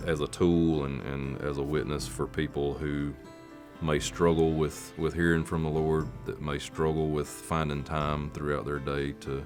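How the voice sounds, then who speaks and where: Over music in the background, a man with a Southern US accent talks at a fairly slow pace, with a very deep, low pitch and monotone, flat intonation. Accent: Southern American. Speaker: country music singer. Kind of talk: interview answer.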